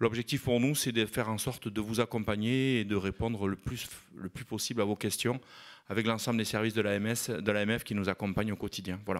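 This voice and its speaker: A fairly low-pitched man at a fairly quick pace, with a slight southwest French accent, on a very clean recording with a silent background. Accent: southwest French (Landes), slight. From southwest France, Landes. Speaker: mayor. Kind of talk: panel talk at a conference. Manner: hesitant, many fillers.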